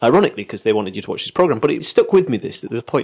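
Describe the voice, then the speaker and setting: A man's voice with vocal fry. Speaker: podcast co-host. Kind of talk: casual chat.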